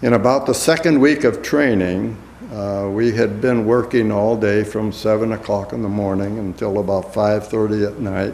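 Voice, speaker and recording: A speaker with an American accent talks at a moderate pace with hardly any pauses and ordinary pitch variation. Audible room echo and noticeable background noise fill the recording. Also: man, fairly low pitch for a man. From US Midwest, Iowa. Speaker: war veteran. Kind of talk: oral history interview. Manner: halting.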